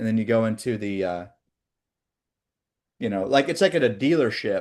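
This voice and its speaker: At a moderate pace and medium pitch, a man with a Midwestern accent speaks over a quiet background. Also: lively intonation. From Oklahoma. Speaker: sales trainer. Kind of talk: training session with role play. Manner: animated.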